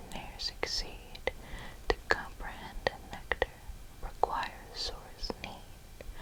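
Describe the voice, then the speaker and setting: Very slow whispering comes through over noticeable background noise. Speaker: ASMR creator. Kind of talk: poetry reading. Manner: whispered.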